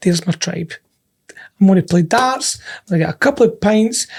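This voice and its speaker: A man speaks with a Scottish accent. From Scotland. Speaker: podcast co-host. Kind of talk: casual chat.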